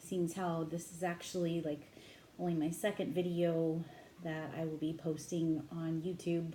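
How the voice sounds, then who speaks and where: Audible room echo surrounds a woman speaking at a moderate pace, her fairly low voice dark and mellow in tone. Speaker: tarot reader. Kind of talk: tarot reading monologue. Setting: home at midnight, headset. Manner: naturally loud voice; trying to talk quietly.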